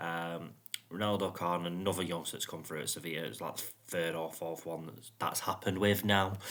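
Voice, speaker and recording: A man's very deep, low voice in a British accent, monotone and at a moderate pace. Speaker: gaming youtuber. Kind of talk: gameplay commentary.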